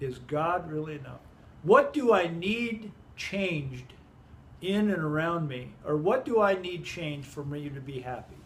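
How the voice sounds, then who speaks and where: A man's high voice at a fairly slow pace, with ordinary pitch variation, big swings in loudness, long pauses coming often and audible room echo. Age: 60s. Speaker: Bible teacher. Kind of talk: Bible study group discussion. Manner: halting, many self-corrections.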